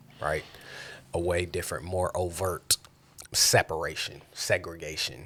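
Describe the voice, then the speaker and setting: Speaking in an American accent, a man with a very deep, low pitch keeps a monotone, flat intonation and leaves long, frequent pauses. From California. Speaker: podcast host. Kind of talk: casual chat.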